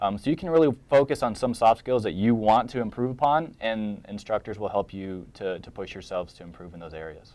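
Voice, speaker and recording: A man with an American accent speaks at a fairly quick pace with hardly any pauses, his fairly low pitch carrying lively intonation on a very clean recording with a silent background. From Atlanta, US South. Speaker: MBA student. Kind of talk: panel discussion. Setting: web chat broadcast. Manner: fast.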